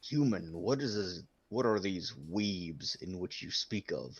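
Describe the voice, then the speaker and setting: Pitched fairly low, a man performs a put-on character voice. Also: fairly slow pace. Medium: actual play. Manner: stilted, formal, addresses others as 'human'.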